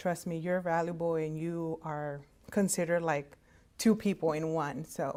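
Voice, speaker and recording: Heard in a very clean recording with a silent background, a woman with a Spanish accent speaks at a moderate pace in a dark, mellow tone with fairly low pitch. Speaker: medical interpreter. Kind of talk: career talk. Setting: virtual conference recording.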